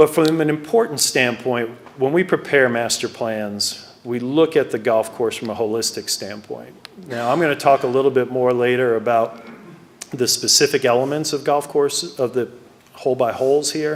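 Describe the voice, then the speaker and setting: Over noticeable background noise, a man speaks at medium pitch and a moderate pace, his pitch varying in an ordinary way. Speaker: golf course architect. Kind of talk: presentation to club members. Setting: club meeting with audience. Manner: soft-spoken.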